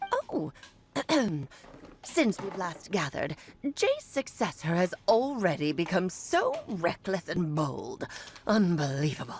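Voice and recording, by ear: Putting on a character voice, a woman of medium pitch speaks fairly slowly with long, frequent pauses.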